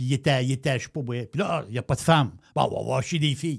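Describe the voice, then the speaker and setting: Speaking at a very fast pace with an animated tone and vocal fry, the voice comes through on a very clean recording with a silent background. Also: man. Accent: Quebec. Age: 60s. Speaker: radio talk show host. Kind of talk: political talk show discussion.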